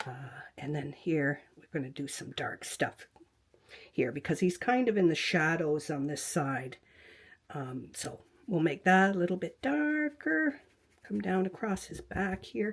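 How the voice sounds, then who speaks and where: Soft-spoken, a woman with a fairly low pitch talks at a fairly slow pace with very wide pitch swings and big swings in loudness. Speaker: quilting and fabric art teacher. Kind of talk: tutorial. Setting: home craft room, webcam. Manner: halting.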